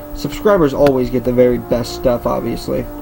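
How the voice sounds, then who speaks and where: Noticeable background noise around a man talking at moderate speed. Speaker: gaming YouTuber. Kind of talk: game walkthrough commentary. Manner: stuttery, hesitant with fillers.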